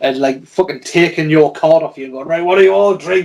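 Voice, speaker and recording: A man speaks with a Geordie accent at a fairly quick pace. His pitch shows ordinary variation. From northeast England, Newcastle. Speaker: tattoo artist. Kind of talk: casual chat.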